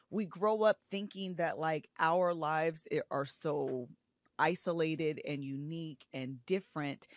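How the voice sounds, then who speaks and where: Dry and close with no echo, this very clean recording with a silent background holds a woman's fairly low pitch and ordinary pitch variation. She has a normal speaking voice and talks at a fairly slow pace. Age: 30s. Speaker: author and social media creator. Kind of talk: casual interview chat.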